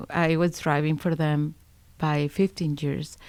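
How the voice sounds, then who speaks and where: A woman with a Spanish accent speaks in a very deep, low pitch and a monotone, flat intonation, on a very clean recording with a silent background. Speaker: school bus driver. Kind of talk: interview answers.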